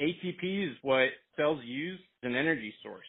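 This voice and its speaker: With ordinary pitch variation, a man talks in front of a quiet background. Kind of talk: conference call product explanation. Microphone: phone line.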